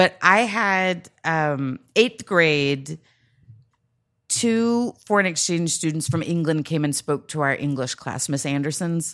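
Speaking very slowly, a woman with an American accent uses a very deep, low pitch and lively intonation. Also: very clean recording, silent background. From Texas, Grand Prairie. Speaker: comedian and writer. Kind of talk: casual chat. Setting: studio.

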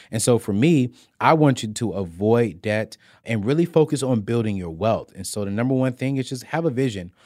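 A man's dark, mellow voice at a fairly quick pace with lively intonation, on a very clean recording with a silent background. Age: 30s. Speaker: personal finance expert. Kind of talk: casual interview. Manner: loud; high-energy.

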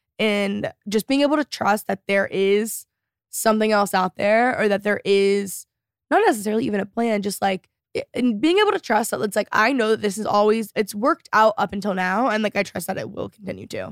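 Recorded very cleanly against a silent background with a dry, close sound and no echo, a woman with an American accent speaks fairly quickly in a normal speaking voice, her pitch fairly high with ordinary variation. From Texas, Dallas area. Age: 20s. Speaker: YouTuber and podcast host. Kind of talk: casual chat.

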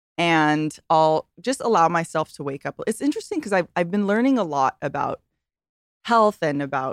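At a moderate pace, a woman talks in a very deep, low pitch, with a dry, close sound and no echo. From Hawaii. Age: 30s. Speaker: swimwear entrepreneur and influencer. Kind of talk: casual interview chat.

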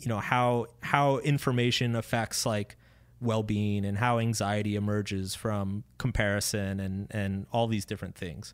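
An unremarkable speaking voice belongs to a man with a fairly low pitch and fairly even intonation, at a moderate pace. The recording is very clean, with a silent background. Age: 30s. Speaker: author. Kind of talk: interview. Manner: casual.

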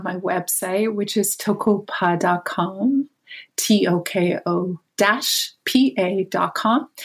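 The voice has lively intonation and sounds somewhat breathy. It comes with a Canadian accent. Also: woman. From Canada. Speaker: author and dreamwork teacher. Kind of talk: interview conversation.

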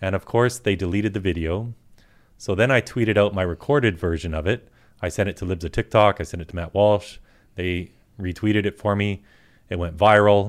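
On a very clean recording with a silent background, a man with a Canadian accent and an unremarkable speaking voice talks at a fairly quick pace, his fairly low pitch following a fairly even intonation. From Canada, British Columbia. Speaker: activist. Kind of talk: political talk show discussion.

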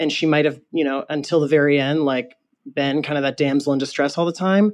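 Against a quiet background, a man with an ordinary speaking voice talks at a fairly high pitch with fairly even intonation. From Michigan. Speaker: fan trivia contestant. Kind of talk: casual interview.

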